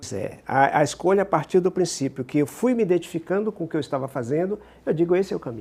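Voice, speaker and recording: Very fast and high-pitched, a man talks with lively intonation on a very clean recording with a silent background. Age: 70s. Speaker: psychologist and regression therapist. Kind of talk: interview.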